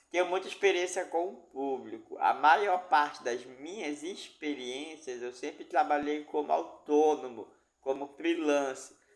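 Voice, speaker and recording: This is a man with an ordinary speaking voice, pitched fairly high. He talks at a fairly slow pace. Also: ordinary pitch variation, hardly any pauses. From Amazonas, Brazil (Itacoatiara). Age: 30s. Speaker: job seeker, dance teacher. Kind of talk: job interview self-presentation.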